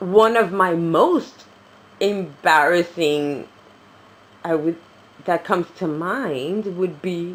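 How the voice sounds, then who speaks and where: In a New York accent, a woman speaks at a fairly low pitch. Her intonation is lively. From New York City. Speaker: reborn doll vlogger. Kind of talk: casual chat. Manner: animated.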